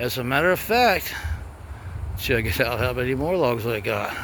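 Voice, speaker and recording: With an American accent, a man talks at a moderate pace in a medium pitch with ordinary pitch variation. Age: 60s. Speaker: DIY woodworking vlogger. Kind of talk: casual vlog walkthrough. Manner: informal, conversational.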